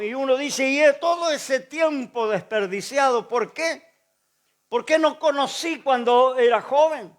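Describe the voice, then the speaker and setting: On a very clean recording with a silent background, a man talks fairly slowly with an extremely high pitch and lively intonation. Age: 70s. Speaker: pastor. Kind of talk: sermon.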